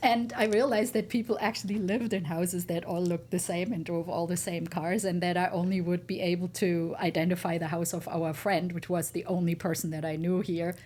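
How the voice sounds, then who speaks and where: A woman with a German accent talks at a fairly quick pace and fairly low pitch, with ordinary pitch variation and hardly any pauses. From Germany. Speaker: entrepreneur. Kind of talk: interview.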